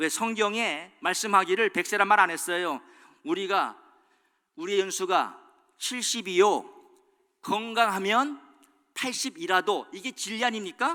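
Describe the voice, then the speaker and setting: This man's voice is high-pitched, bright and sharp, raised and projected with lively intonation at a fairly slow pace. The recording is very clean, with a silent background. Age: 60s. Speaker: pastor. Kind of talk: sermon.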